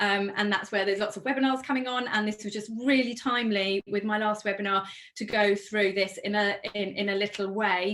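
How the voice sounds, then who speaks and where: At a fairly quick pace, a woman speaks in a fairly high pitch with monotone, flat intonation. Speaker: events organiser hosting webinar. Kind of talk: webinar presentation. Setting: online webinar. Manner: fast.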